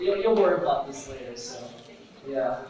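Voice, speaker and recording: With audible room echo and noticeable background noise, a man speaks with lively intonation. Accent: American. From US, New York City (Brooklyn). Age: 20s. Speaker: guest speaker, ophthalmic technician. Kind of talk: informal talk to church youth group. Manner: casual, many fillers (uh, so, right).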